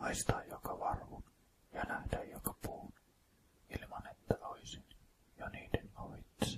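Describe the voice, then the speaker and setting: The voice is whispering. It moves at a very slow pace. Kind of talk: whispered poetry reading. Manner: whispered, soft.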